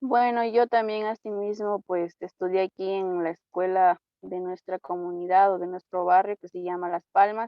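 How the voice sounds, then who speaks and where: Using a normal speaking voice, a woman talks fairly slowly with fairly even intonation and hardly any pauses, while her loudness swings widely. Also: medium pitch for a woman. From Ecuador, El Chaco (Napo). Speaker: church member. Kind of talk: interview.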